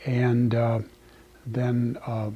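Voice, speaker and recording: A man is talking with a Pacific Northwest accent. His pitch is medium. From central Oregon, US. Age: 70s. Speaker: retired lumber company president. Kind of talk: oral history interview. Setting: old company office. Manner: halting, many fillers.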